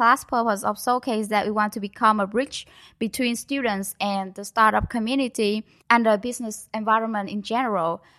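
The voice carries a Vietnamese accent and a bright, sharp tone with fairly even intonation. The recording is very clean, with a silent background. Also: woman. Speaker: student organization project lead. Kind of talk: interview.

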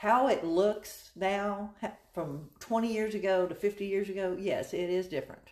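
This is an ordinary speaking voice at a fairly slow pace. The intonation stays fairly even. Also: woman, medium pitch for a woman. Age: 60s. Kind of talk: casual chat.

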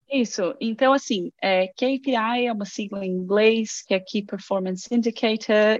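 A woman's medium-pitched voice at a fairly slow pace against a quiet background. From Brazil, Guarulhos (São Paulo). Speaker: game producer. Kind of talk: casual interview.

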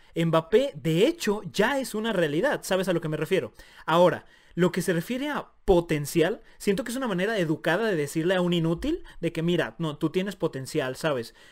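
Here is a man with a high voice and lively intonation. His pace is fairly quick. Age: 20s. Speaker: podcast co-host. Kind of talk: casual chat.

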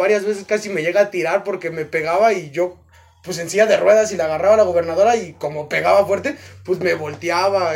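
With music in the background, a man in a Mexican accent speaks at a fairly quick pace in a high voice with ordinary pitch variation. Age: 20s. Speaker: boxing coach and nurse. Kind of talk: casual chat.

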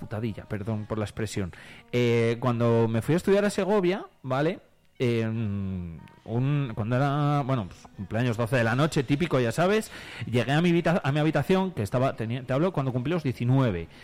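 With music in the background, a man of medium pitch talks at a moderate pace, his pitch swinging very widely. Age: 30s. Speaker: radio host. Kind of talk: casual chat.

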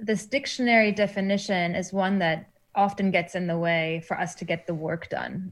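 Speaking at a moderate pace with hardly any pauses, a woman of medium pitch sounds somewhat breathy. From Germany. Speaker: academic. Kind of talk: interview.

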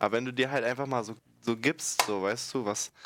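Here a man speaks in a normal speaking voice. His pace is moderate and his pitch variation ordinary. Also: very clean recording, silent background. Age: 20s. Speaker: podcast guest, school friend of co-host. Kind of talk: casual chat.

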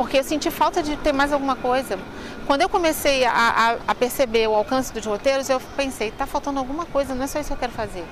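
Through noticeable background noise, a woman talks at a high pitch and a very fast pace. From Rio de Janeiro, Brazil (Madureira). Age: 50s. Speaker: tour guide. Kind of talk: interview.

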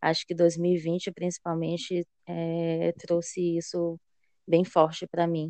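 Very slowly and in a flat monotone, a woman talks at a fairly low pitch. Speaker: psychologist and HR analyst. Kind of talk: casual interview chat. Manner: talkative.

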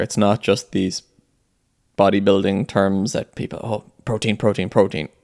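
The sound is dry and close with no echo as a man with an unremarkable speaking voice and fairly low pitch talks at a moderate pace. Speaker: podcast host and fitness coach. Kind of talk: solo podcast monologue, casual update. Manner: casual, filler-heavy, conversational.

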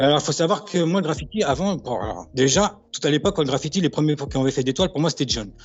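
A man's very fast delivery with lively intonation. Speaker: graffiti writer. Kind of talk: interview. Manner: halting.

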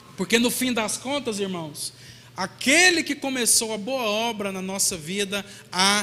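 A man's raised, projected, high-pitched voice, fairly slow with ordinary pitch variation, against noticeable background noise. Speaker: pastor. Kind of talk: sermon.

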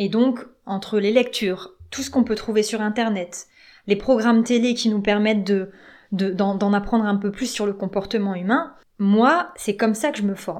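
A woman talks at a moderate pace in an ordinary speaking voice, pitched fairly high. Her pitch variation is ordinary, and the recording is very clean with a silent background. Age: 30s. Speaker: relationship coach. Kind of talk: podcast monologue.

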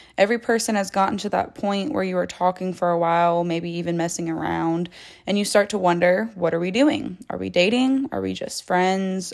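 A woman with a plain, everyday voice talks at a moderate pace with hardly any pauses on a very clean recording with a silent background. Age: 20s. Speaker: relationship advice podcaster. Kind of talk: solo monologue.

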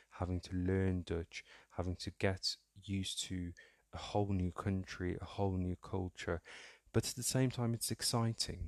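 The background is quiet and the sound dry and close, with no echo. A man with a very deep, low pitch speaks at a moderate pace with fairly even intonation. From Netherlands (Somali-born, later UK). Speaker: podcast host, accountant, career mentor. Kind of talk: monologue podcast. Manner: hesitant with fillers.

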